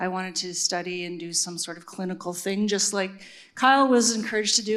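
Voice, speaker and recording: A woman speaks in a normal speaking voice with a Canadian accent. Her pitch is medium, with ordinary variation. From Regina, Saskatchewan, Canada. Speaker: neuroscientist and university administrator. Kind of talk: panel discussion.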